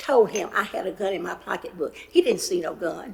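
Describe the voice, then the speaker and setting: A woman with a North Carolina accent, fairly high in pitch, at a moderate pace, with very wide pitch swings. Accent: Southern US (North Carolina). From US South. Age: 80s+. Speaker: member of the public giving comment. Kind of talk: public comment testimony. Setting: county commission meeting.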